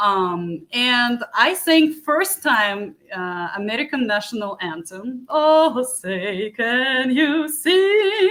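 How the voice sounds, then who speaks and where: With a Ukrainian accent, a woman speaks at a very slow pace with hardly any pauses, her high voice making very wide pitch swings over noticeable background noise. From Ukraine. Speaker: beauty pageant contestant and musician. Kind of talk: interview.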